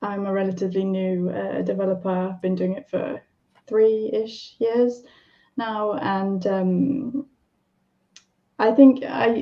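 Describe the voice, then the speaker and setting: With a British accent, a woman talks at a medium pitch with ordinary pitch variation. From UK. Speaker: software developer and accessibility specialist. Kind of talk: live stream panel discussion. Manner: halting, many fillers.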